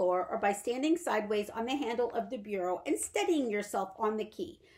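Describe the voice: Straightforward reading aloud, its intonation lively.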